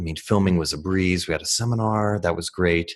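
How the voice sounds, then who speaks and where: A man talks with a very deep, low pitch and fairly even intonation. The background is quiet. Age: 40s. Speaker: martial arts instructor. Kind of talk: casual interview.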